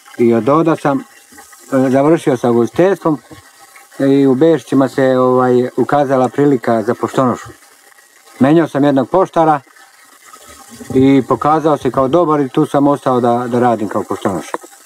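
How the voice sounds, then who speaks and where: Speaking at a moderate pace with long, frequent pauses, a man uses a medium pitch, ordinary pitch variation and very even loudness, in a dry, close recording with no echo but noticeable background noise. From Serbia, Šumadija (village near Gornji Milanovac). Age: 50s. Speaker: village postman. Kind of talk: documentary interview. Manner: halting, with fillers.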